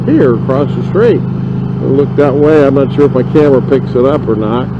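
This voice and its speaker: A man's moderate-paced speech comes through audible room echo and noticeable background noise. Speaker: motorcycle vlogger. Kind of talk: casual ride vlog narration. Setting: riding a motorcycle outdoors. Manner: loud.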